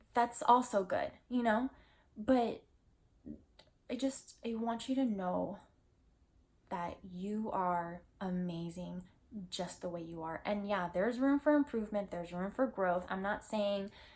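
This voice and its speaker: A soft-spoken woman talks at a fairly slow pace. She shows ordinary pitch variation and takes long, frequent pauses. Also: medium pitch for a woman. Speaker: lifestyle vlogger. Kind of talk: personal vlog monologue. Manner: casual, filler-heavy.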